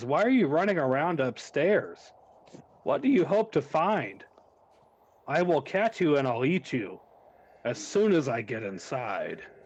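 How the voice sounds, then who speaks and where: A man in a put-on character voice talks at a moderate pace, with long, frequent pauses. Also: fairly high pitch for a man. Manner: menacing.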